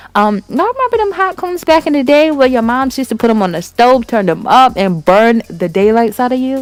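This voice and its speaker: Against noticeable background noise, a woman talks at a fairly quick pace in an animated tone, with very wide pitch swings. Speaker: beauty vlogger. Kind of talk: tutorial. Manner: fast.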